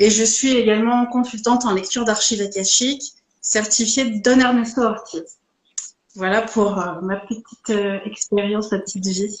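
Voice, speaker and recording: A woman speaks with fairly even intonation and a fairly high pitch. It's an unremarkable speaking voice. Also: moderate pace. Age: 40s. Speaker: Reiki teacher and Akashic records reader. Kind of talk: live interview. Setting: Instagram live.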